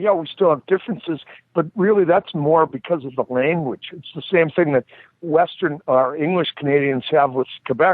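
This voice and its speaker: Spoken at a moderate pace with a Boston accent. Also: man. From US Northeast, Boston (Dorchester). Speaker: former hockey enforcer and referee. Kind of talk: casual chat.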